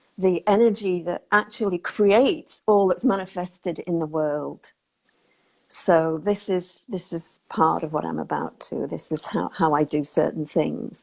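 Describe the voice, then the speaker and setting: Speaking at a fairly slow pace, a woman with a fairly low voice shows vocal fry. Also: ordinary pitch variation. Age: 60s. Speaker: spiritual healer interviewee. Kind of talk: interview, life story. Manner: hesitant, many fillers and repeats.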